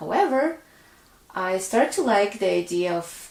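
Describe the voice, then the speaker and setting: Noticeable background noise sits behind a woman who has a non-native accent. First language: not English. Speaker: pianist and songwriter. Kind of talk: casual talk to camera.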